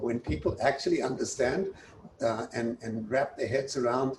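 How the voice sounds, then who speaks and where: A man with a South African accent, at a moderate pace. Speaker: university president. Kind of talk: interview.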